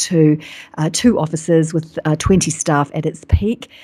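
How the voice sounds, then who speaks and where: In a New Zealand accent, a woman speaks at a very deep, low pitch. Her tone is dark and mellow, her intonation fairly even. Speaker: business coach. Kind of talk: interview. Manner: fast.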